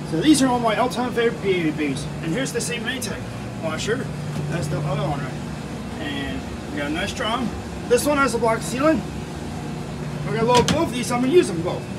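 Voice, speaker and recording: A man talks at a fairly quick pace as loud background noise plays behind him. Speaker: laundromat vlogger. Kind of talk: casual vlog chat. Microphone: phone near.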